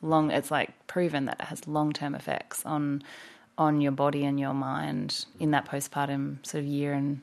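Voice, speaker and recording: This woman has a very deep, low voice and an Australian accent, talking at a fairly slow pace. Her intonation stays monotone and flat over a quiet background. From Australia (Victoria coast). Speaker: doula and founder of a women's community space. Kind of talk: casual interview chat.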